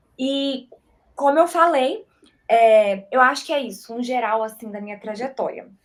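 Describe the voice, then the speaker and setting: A woman speaks at a moderate pace with a high pitch. Her loudness swings widely. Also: lively intonation. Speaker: church media volunteer. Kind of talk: testimony.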